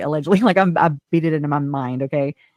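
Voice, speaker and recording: A woman's very deep, low voice at a very fast pace with ordinary pitch variation, dry and close with no echo, over music in the background. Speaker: live-stream host, true crime commentator. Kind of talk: casual live-stream chat. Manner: halting, fractured speech; animated, emotional.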